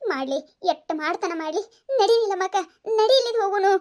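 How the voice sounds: A woman puts on a cartoonish character voice at an extremely high pitch, talking at a moderate pace with lively intonation.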